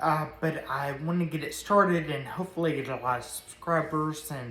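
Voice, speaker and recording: In a Tennessee accent, a woman with a very deep, low pitch speaks at a moderate pace with fairly even intonation, amid audible room echo and noticeable background noise. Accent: Southern US (Tennessee). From US South, Nashville, Tennessee. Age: 30s. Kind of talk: personal testimony to camera. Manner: halting, many fillers.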